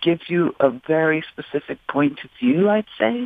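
A woman speaks with an American accent in a plain, everyday voice. Her pitch sits fairly low, and her intonation is lively. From US South, New Orleans. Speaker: author. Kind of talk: interview. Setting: radio studio.

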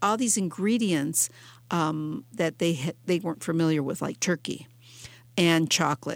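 On a very clean recording with a silent background, a woman speaks at a fairly low pitch with ordinary pitch variation. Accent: American. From Detroit, Michigan. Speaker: author. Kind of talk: radio interview. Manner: halting with frequent repetitions.

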